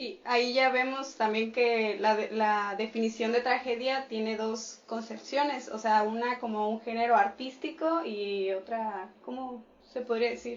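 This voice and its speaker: Over noticeable background noise, a woman speaks at a fairly slow pace with hardly any pauses, her fairly high voice carrying fairly even intonation. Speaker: radio host. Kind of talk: radio talk show.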